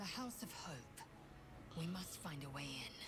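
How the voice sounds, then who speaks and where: Over loud background noise, a put-on character voice at a middle pitch moves along at a moderate pace. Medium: video game.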